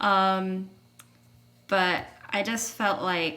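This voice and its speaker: A woman speaks at a medium pitch with an American accent. Audible room echo surrounds her voice. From United States. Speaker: college basketball player. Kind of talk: casual interview.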